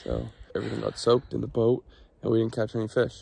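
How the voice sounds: Speaking fast, a man with a fairly low pitch uses little pitch movement, a slightly mellow tone, a slightly husky edge and vocal fry.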